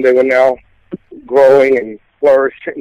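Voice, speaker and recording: In a dry, close sound with no echo, a man of medium pitch with a slight Southern US accent talks at a fairly slow pace. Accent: Southern US twang, slight. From Mississippi. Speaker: gospel singer and pastor. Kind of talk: interview testimony. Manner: halting, many fillers.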